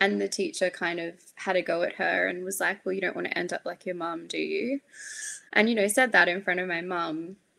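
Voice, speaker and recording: A woman with an Australian accent speaks at a fairly low pitch and fairly quick pace, her tone bright and sharp and her intonation fairly even, in a very clean recording with a silent background. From far north Queensland, Australia. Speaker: psychiatry registrar, peer support founder. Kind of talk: interview conversation.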